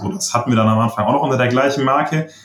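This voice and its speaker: The voice is somewhat breathy. The pace is very fast. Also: man. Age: 20s. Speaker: online seller. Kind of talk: interview.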